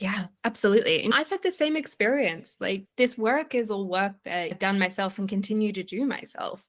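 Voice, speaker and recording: On a very clean recording with a silent background, a woman with an Australian accent talks at a moderate pace, hardly pausing, with lively intonation and medium pitch. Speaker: leadership coach. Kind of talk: interview.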